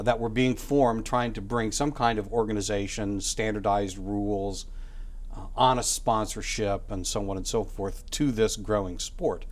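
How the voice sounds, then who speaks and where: A man at a moderate pace, his intonation fairly even, with audible room echo. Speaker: author and academic. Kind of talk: interview. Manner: halting, many fillers.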